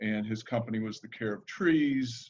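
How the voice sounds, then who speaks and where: A man at a medium pitch with a Midwestern accent. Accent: Midwestern twang. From US Midwest, Chicago area. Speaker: arborist. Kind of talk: webinar talk. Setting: video call.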